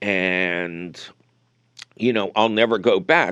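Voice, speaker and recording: The speaker has an American accent, and the background is quiet. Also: man. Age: 70s. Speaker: radio gardening show host. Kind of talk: call-in radio chat.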